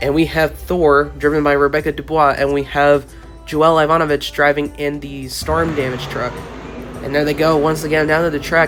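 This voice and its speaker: Over music in the background, a man with a fairly high voice speaks in a flat monotone. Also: moderate pace. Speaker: toy monster truck race commentator. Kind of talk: sports-style play-by-play commentary.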